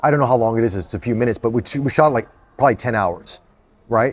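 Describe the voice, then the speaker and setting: A man with an American accent has a plain, everyday voice at a medium pitch. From United States. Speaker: actor. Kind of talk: interview.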